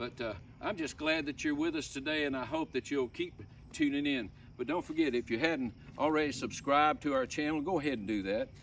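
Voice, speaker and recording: With an Alabama accent, a man speaks at a fairly quick pace with a fairly high pitch and ordinary pitch variation. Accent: Southern US (Alabama). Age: 70s. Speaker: homesteader. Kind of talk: casual vlog talk. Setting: outdoors.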